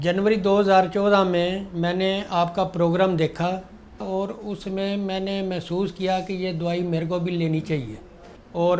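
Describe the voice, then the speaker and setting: A man's high-pitched voice with fairly even intonation and audible room echo. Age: 60s. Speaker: diabetes patient giving testimonial. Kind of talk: testimony.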